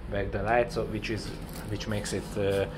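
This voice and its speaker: A man with a Hungarian accent is heard amid noticeable background noise and audible room echo. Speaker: cycling hobby vlogger. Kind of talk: casual product demo. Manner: halting, many fillers and repeats.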